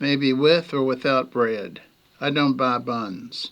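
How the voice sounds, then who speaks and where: The speaker talks at a very slow pace in a bright, sharp tone with ordinary pitch variation. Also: man. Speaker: former singer. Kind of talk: casual talk to camera. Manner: hesitant, rambling.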